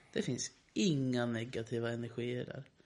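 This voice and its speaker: Using a plain, everyday voice, a man of medium pitch talks at a moderate pace with fairly even intonation. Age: 20s. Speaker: podcast co-host, musician. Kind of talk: casual chat.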